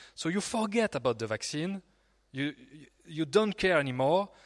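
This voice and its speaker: A man speaks with a French accent and lively intonation. The recording is very clean, with a silent background. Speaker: YouTuber. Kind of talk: panel discussion. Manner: halting.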